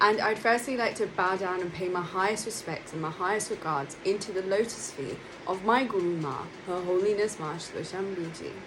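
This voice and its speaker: Talking at a fairly quick pace with hardly any pauses and ordinary pitch variation, a speaker in a London accent is heard amid noticeable background noise and audible room echo. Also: woman, medium pitch for a woman. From London, England. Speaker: monastic spiritual speaker. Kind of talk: spiritual talk. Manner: hesitant with fillers.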